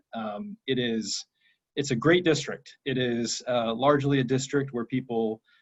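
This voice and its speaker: A man with an ordinary speaking voice talks at a fairly slow pace and a medium pitch, with ordinary pitch variation. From Georgia, US (Cobb County). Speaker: state legislator. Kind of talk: candidate speech on video call. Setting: video call.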